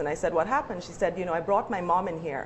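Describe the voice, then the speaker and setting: Noticeable background noise sits behind a woman whose pitch is medium. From Guyana. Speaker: university lecturer, panelist. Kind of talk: panel discussion.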